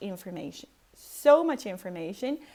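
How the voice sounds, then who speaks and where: Speaking at a fairly slow pace, a woman with a non-native accent uses lively intonation. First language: not English. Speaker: personality type coach and vlogger. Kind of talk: casual vlog monologue. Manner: hesitant, many fillers.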